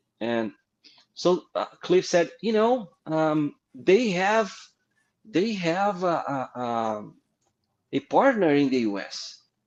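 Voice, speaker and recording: A man with a Brazilian Portuguese accent speaks in a high voice, his pitch swinging very widely. The background is quiet. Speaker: comic book artist. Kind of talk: interview storytelling. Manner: halting.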